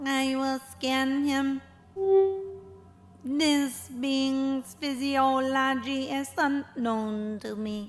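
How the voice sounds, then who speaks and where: A cartoonish character voice, female-sounding and high-pitched, at a very slow pace. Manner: flat, mechanical.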